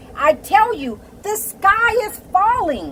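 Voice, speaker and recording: The speaker puts on a character voice. Delivery is very slow. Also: woman, extremely high pitch for a woman. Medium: read story. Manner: fretful, anxious.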